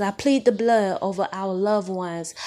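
The woman's speech moves at a moderate pace. Her voice sits at a medium pitch. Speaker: prayer podcast host. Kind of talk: fervent prayer. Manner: impassioned, commanding; repetitive, rhythmic, with Hallelujah exclamations.

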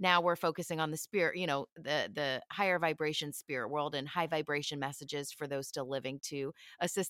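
A woman with an American accent speaks at a fairly quick pace in a very deep, low pitch with a bright, sharp tone, recorded very cleanly against a silent background with a dry, close sound and no echo. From Philadelphia, US. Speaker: psychic medium. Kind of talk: casual interview chat.

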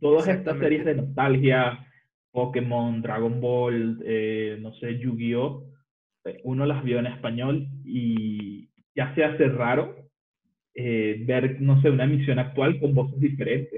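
Audible room echo surrounds a man who speaks very slowly at a medium pitch with fairly even intonation. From Venezuela. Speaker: designer and programmer. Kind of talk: casual chat.

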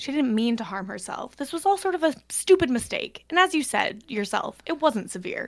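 A woman's high voice with very wide pitch swings, at a moderate pace with hardly any pauses. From Canada. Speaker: guest. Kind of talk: casual chat.

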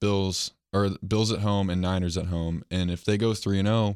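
On a very clean recording with a silent background, a man with an American accent speaks at a moderate pace in a very deep, low pitch with monotone, flat intonation. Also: dry, close sound with no echo. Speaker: sports podcast host. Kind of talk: casual chat.

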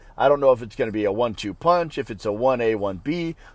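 A man with a plain, everyday voice speaks at a fairly quick pace in a medium pitch. His pitch varies in an ordinary way, and the recording is very clean with a silent background. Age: 40s. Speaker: fantasy football podcast host. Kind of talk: casual solo commentary. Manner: casual, with fillers and profanity.

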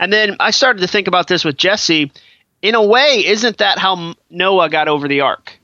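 A high-pitched man's voice with an American accent and very even loudness. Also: ordinary pitch variation, moderate pace. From Massachusetts. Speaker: author and podcast guest. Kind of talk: casual chat. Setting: Skype call.

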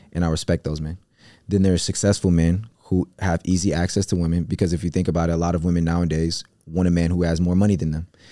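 A man's very deep, low, dark and mellow voice, very fast and monotone with flat intonation, in a very clean recording with a silent background. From US Midwest, Cleveland, Ohio. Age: 20s. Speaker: entrepreneur. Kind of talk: casual chat.

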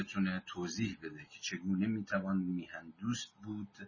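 With monotone, flat intonation, a man talks at a fairly low pitch. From Iran, Mazandaran. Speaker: book discussion leader. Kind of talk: lecture.

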